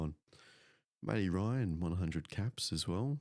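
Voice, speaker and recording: Soft-spoken and very deep in pitch, a man with an Australian accent talks at a moderate pace with lively intonation, in a dry, close sound with no echo. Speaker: football commentator. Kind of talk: live commentary. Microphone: mic cutting in and out.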